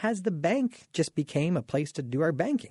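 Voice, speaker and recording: Somewhat breathy and with a Canadian accent, the speaker goes at a moderate pace with very wide pitch swings, in a dry, close sound with no echo over a quiet background. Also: man. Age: 40s. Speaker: radio host and mortgage broker. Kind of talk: casual radio talk show monologue.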